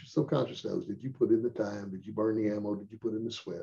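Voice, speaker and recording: Speaking at a very fast pace, this man has a medium pitch and a dark, mellow, somewhat breathy tone. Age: 70s. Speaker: firearms instructor. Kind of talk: casual chat.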